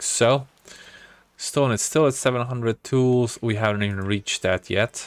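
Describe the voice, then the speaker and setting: A man with a non-native accent at a moderate pace, medium in pitch, fairly even in intonation, with a dry, close sound with no echo and music in the background. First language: not English. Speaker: gaming video creator. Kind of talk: let's play game commentary. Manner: casual, thinking aloud with fillers.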